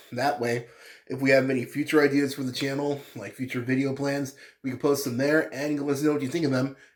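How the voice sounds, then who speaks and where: A man at a medium pitch, talking at a very fast pace with fairly even intonation. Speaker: gaming YouTuber. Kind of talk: casual video commentary. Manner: halting, many fillers.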